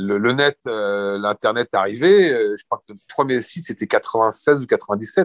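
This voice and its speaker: A man of medium pitch talks at a very slow pace with lively intonation and hardly any pauses, the sound dry and close with no echo. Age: 60s. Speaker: retired surf and skate shop founder. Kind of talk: interview.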